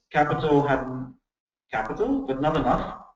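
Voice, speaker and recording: A man with a fairly high voice speaks in a room with audible echo. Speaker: lecturer on commons and peer production. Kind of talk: lecture. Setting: video call. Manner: fast.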